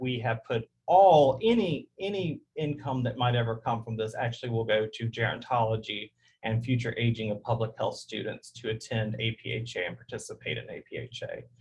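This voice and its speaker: A man with a Southern US accent speaks in a somewhat breathy voice. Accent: Southern drawl. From US South. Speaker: public health professor. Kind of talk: webinar presentation and Q&A. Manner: fast.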